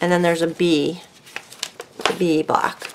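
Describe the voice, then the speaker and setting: The soft-spoken voice moves at a very slow pace in a flat monotone. Noticeable background noise runs underneath. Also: woman. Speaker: craft video creator. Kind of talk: casual craft tutorial. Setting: at home. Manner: soft-spoken, calm. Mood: relaxed, chatty.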